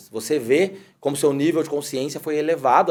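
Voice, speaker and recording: This man talks at a fairly quick pace with a fairly high pitch. His tone is dark and mellow. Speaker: podcast host. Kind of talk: casual interview chat. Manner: hesitant, repeats words.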